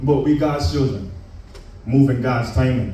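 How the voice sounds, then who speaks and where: With a Caribbean accent, a man talks at a fairly slow pace amid noticeable background noise and audible room echo. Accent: put-on Caribbean accent for poem. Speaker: spoken word poet. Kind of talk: spoken word performance.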